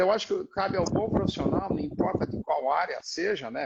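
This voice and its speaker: A man's voice at a moderate pace. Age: 60s. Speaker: physiotherapist. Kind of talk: panel discussion. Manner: halting.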